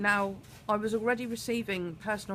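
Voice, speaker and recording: The speaker is a woman. She has a British accent. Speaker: vlogger. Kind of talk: personal vlog monologue. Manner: hesitant, many fillers.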